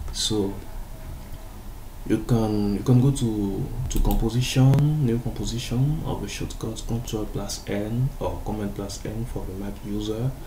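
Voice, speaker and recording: A man speaks at a fairly slow pace and medium pitch, with fairly even intonation. The recording has audible room echo and noticeable background noise. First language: French. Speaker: graphic designer. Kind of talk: tutorial. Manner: halting.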